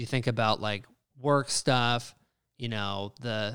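The speech, in an unremarkable speaking voice, unfolds fairly slowly and with fairly even intonation. A silent background makes for a very clean recording. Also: man. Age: 20s. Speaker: podcast co-host. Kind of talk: casual chat.

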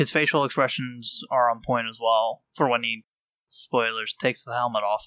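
Medium-pitched male voice with a bright, sharp tone at a moderate pace, dry and close with no echo. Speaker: podcast co-host. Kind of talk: casual chat, live podcast.

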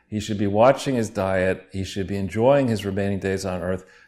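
A man's ordinary speaking voice, fairly low in pitch with ordinary pitch variation, comes through a very clean recording against a silent background. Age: 60s. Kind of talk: casual chat.

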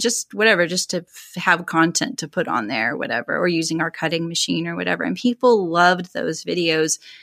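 A woman's fairly low voice with a bright, sharp tone, vocal fry and lively intonation. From California. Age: 40s. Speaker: sewing livestreamer. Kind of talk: interview.

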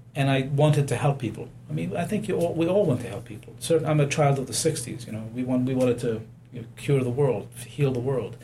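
In audible room echo, a man at a medium pitch talks at a fairly quick pace with ordinary pitch variation. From abroad, unnamed home country. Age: 60s. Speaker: physician. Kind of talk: interview.

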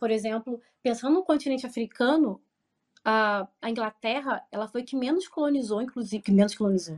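Speaking in a Rio de Janeiro accent, a woman talks at a moderate pace in a fairly high pitch with ordinary pitch variation against a quiet background. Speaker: history professor. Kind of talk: interview answers.

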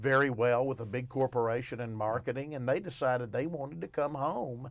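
With an Arkansas accent, a man at medium pitch speaks at a moderate pace with ordinary pitch variation. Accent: Southern US (Arkansas). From Arkansas, Arkadelphia. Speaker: newspaper columnist and radio co-host. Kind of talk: casual chat. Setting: radio studio.

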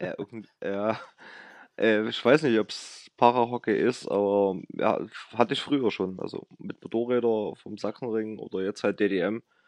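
A man with a plain, everyday voice, fairly slow pace, ordinary pitch variation and big swings in loudness, in a dry, close sound with no echo. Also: fairly low pitch for a man. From Saxony, near Chemnitz. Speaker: para ice hockey national player. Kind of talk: interview.

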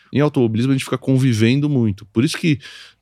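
Talking at a very fast pace with ordinary pitch variation, the speaker is heard on a very clean recording with a silent background. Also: man. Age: 40s. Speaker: motorsport series executive. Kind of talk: interview.

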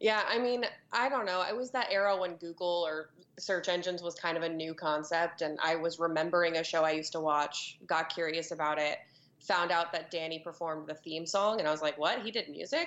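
In an American accent, a woman talks at a fairly quick pace and fairly low pitch in a normal speaking voice with ordinary pitch variation. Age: 20s. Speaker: comedian. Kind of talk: casual chat.

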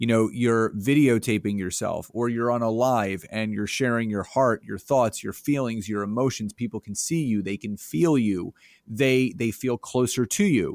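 In an ordinary speaking voice, a man talks at a moderate pace and medium pitch with ordinary pitch variation and hardly any pauses, on a very clean recording with a silent background and a dry, close sound with no echo. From Philadelphia area, Pennsylvania. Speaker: business coach and entrepreneur. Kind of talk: interview.

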